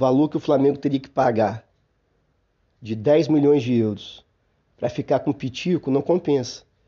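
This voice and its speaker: A man, fairly high in pitch, at a moderate pace with long, frequent pauses and ordinary pitch variation. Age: 40s. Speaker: football podcast host. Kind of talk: solo sports commentary podcast. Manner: hesitant, frequent fillers.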